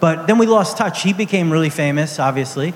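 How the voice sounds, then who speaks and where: A man speaks with an American accent at a fairly high pitch. Noticeable background noise runs under the recording. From New York City (Brooklyn). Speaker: comics editor. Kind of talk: live interview on stage. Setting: outdoor stage with audience.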